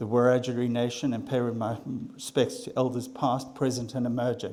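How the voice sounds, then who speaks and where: At a fairly quick pace, a man speaks in a medium pitch. His tone is dark and mellow. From South Africa. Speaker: landholder. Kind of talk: presentation.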